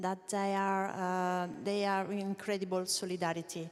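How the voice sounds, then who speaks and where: A woman's medium-pitched voice with an Italian accent. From Italy. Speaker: co-operative federation manager. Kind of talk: panel discussion. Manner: halting.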